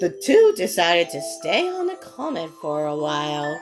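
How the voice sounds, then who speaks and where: Over music in the background, the speaker goes at a very slow pace with very wide pitch swings. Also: woman. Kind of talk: read story.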